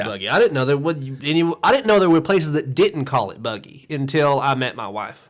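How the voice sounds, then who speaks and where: A man with a Southern Appalachian accent speaks at a fairly quick pace with hardly any pauses. His voice is fairly high, with lively intonation. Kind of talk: interview answer.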